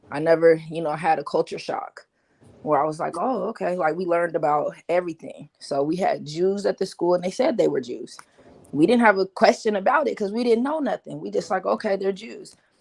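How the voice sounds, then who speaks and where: A woman at a medium pitch and fairly quick pace, with lively intonation. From Seattle, US Pacific Northwest. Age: 40s. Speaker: commentator. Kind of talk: casual chat. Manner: halting, many repeats.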